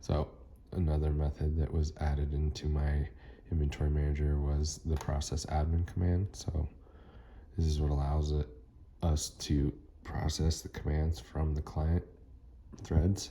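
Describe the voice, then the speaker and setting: Over noticeable background noise, a man speaks with a very deep, low pitch and very even loudness. His intonation is monotone and flat, with long, frequent pauses. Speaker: student. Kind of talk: tutorial. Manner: fast.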